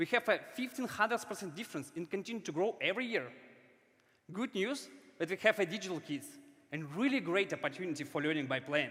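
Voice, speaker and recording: The speaker has a non-native accent and a bright, sharp tone. The pace is fairly quick, with lively intonation. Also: man. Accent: foreign. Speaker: startup founder. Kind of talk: startup pitch.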